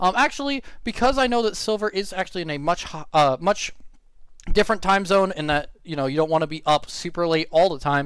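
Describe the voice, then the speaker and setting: Loud speech with lively intonation comes through on a very clean recording with a silent background. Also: man, high pitch for a man, fairly quick pace. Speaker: streamer and commentator. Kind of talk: live stream commentary. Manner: halting.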